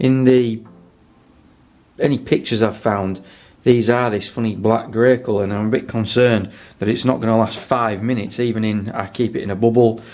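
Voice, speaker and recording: A man's medium-pitched voice at a fairly quick pace, fairly even in intonation, with audible room echo. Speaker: motorcycle restorer, video maker. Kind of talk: workshop tutorial. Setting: cold home garage. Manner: mumbling; casual, halting.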